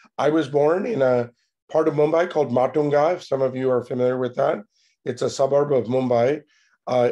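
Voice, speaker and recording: A man's fairly high voice with a dark, mellow tone, ordinary pitch variation and a moderate pace. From United States. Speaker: tech entrepreneur. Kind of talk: conference talk.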